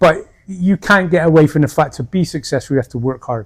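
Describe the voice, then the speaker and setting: The voice is somewhat breathy, moving at a fairly quick pace with ordinary pitch variation. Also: man. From United Kingdom. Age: 60s. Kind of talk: interview answer.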